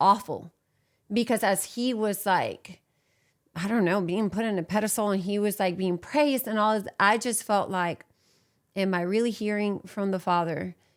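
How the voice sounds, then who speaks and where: With a Puerto Rican accent, a woman speaks at a fairly slow pace with fairly even intonation and long, frequent pauses. The recording is very clean, with a silent background. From Puerto Rico. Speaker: church abuse survivor. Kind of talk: testimony.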